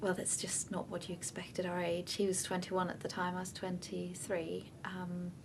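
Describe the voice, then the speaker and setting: Amid noticeable background noise and audible room echo, a woman speaks at a moderate pace with a fairly low pitch, monotone, flat intonation and hardly any pauses. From Denmark. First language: Danish. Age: 20s. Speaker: bereaved partner. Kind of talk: testimony. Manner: hesitant, with many fillers.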